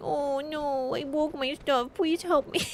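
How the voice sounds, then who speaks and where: A put-on character voice at a high pitch speaks at a fairly slow pace over clear background noise. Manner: whiny, pleading, silly.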